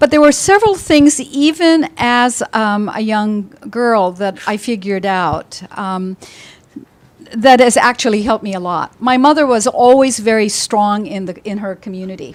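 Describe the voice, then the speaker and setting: A woman speaks at a moderate pace in a plain, everyday voice with a fairly high pitch. Her loudness swings widely, and her intonation is lively. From Philippines, raised in US from childhood. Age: 60s. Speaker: company founder and CEO. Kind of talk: personal story at panel talk.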